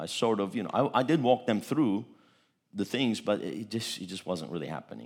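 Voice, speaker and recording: On a very clean recording with a silent background, a man with a fairly low pitch speaks in an animated tone with vocal fry. His pace is fairly quick and his pitch variation ordinary. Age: 50s. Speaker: pastor. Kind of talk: sermon.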